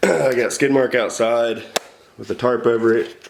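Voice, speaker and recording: Noticeable background noise accompanies a man whose voice is medium in pitch. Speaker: car YouTuber doing mechanic work. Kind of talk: casual vlog narration. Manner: casual, conversational.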